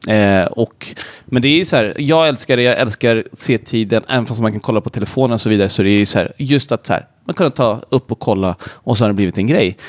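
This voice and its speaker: The sound is dry and close, with no echo. A man with a normal speaking voice talks at a fairly quick pace, with medium pitch and ordinary pitch variation. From Sweden, Södertälje. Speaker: entrepreneur. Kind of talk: casual chat.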